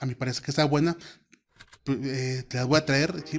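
A man talks at a fairly quick pace with a fairly high pitch. His intonation is fairly even over a quiet background. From Mexico, Oaxaca. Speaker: podcast host, student. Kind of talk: solo podcast monologue. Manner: hesitant, many fillers.

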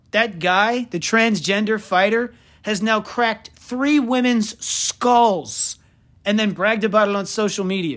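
A man with a high pitch sounds animated, his pitch varying in an ordinary way, in a very clean recording with a silent background. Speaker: sports podcast host. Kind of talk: casual comedic sports talk.

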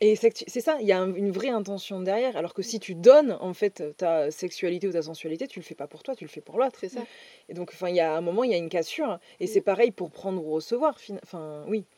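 A woman talks at a fairly quick pace with lively intonation and a dark, mellow tone. Her loudness swings widely, and the sound is dry and close, with no echo. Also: medium pitch for a woman. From France, Dordogne. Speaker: mindset coach. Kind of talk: casual chat. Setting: outdoors.

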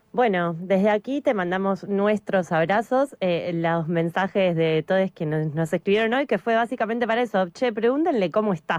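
An ordinary speaking voice from a woman at medium pitch and moderate pace, with ordinary pitch variation, very even loudness, and a very clean recording with a silent background. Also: dry, close sound with no echo. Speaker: radio host. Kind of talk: radio interview; news reading.

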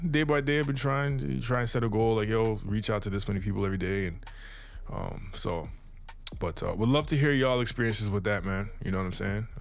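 Speaking at a very fast pace with lively intonation, a man of medium pitch is heard with audible room echo. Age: 30s. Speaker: music producer and podcast host. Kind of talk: casual solo podcast monologue. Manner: laid-back, lots of fillers.

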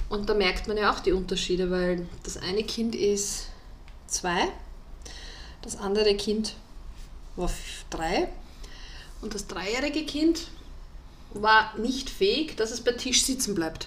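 A woman with a fairly high pitch talks at a very slow pace, with lively intonation. Long pauses come often, and there is audible room echo. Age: 30s. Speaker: podcast co-host. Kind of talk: casual chat.

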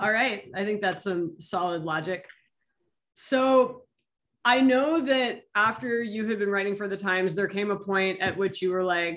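Her tone bright and sharp, a woman speaks at a fairly slow pace with a medium pitch and ordinary pitch variation. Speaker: interviewer. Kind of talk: casual interview.

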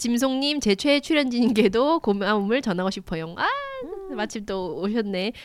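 Against noticeable background noise, a woman talks at a moderate pace with fairly high pitch and lively intonation. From Gyeongsang region, South Korea. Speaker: independent magazine editor. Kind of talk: casual chat.

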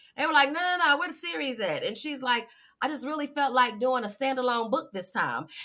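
Projecting her voice, a woman talks fairly quickly in a high pitch with a bright, sharp tone and lively intonation. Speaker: podcast host. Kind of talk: casual interview chat.

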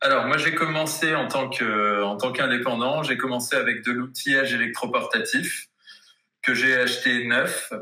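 A man talks at a fairly slow pace. His loudness stays very even. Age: 30s. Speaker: cabinetmaker. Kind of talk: interview. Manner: halting, with frequent hesitations.

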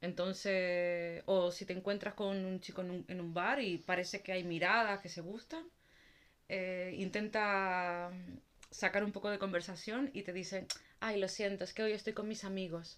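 An unremarkable speaking voice: a woman at a medium pitch speaks fairly slowly with fairly even intonation. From Canary Islands. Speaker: podcast co-host. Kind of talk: casual chat.

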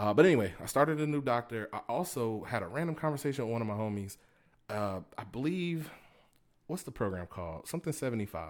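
A speaker with an American accent talks at a fairly quick pace with very wide pitch swings, on a very clean recording with a silent background. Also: man, medium pitch for a man. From Tampa, Florida. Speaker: podcast host. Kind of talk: casual monologue. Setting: home recording. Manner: conversational, with fillers.

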